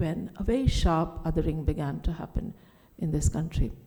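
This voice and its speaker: Somewhat breathy and dark, mellow in tone, a woman's voice moves with lively intonation. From India, Delhi. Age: 60s. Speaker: writer and speaker. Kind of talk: conference talk.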